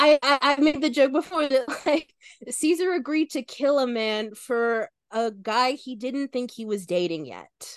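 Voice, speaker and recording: Recorded dry and close with no echo, a woman with a high voice speaks at a fairly slow pace, her intonation lively and her loudness swinging widely. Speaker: actor and editor on actual-play podcast. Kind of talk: casual chat.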